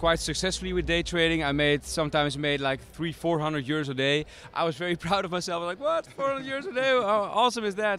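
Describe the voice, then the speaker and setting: A man's high-pitched voice with a Dutch accent, at a very fast pace with hardly any pauses. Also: lively intonation. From Netherlands. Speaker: startup founder. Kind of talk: interview. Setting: tech conference. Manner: hesitant, many fillers.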